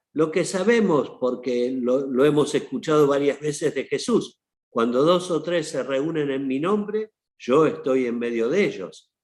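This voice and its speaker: A man's normal speaking voice, fairly high in pitch, with lively intonation, at a fairly slow pace against a quiet background. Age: 60s. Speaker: archbishop. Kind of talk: panel talk. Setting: online seminar.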